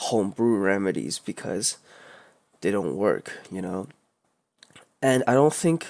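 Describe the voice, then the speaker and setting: The recording is very clean, with a silent background. A man with a non-native accent speaks with lively intonation. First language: not English. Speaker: vlogger. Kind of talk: personal rant. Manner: halting.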